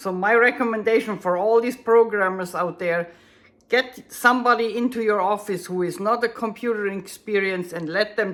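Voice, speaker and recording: The speaker is a woman with a German accent. Her pitch sits at a medium level. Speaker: bass student and translator. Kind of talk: tutorial. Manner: halting, searching for words.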